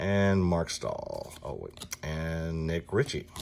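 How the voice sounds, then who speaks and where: Speaking very slowly, a man talks with a Southern US accent. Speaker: sports card collector, box break host. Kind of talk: casual card-opening commentary. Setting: card and gaming shop.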